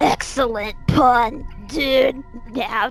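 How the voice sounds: A female-sounding put-on character voice, pitched high for a woman, with clear music in the background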